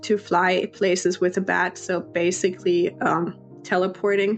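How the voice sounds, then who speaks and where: A woman talks very slowly. Background music plays behind her. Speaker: Sims builder, YouTuber. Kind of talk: casual voiceover commentary.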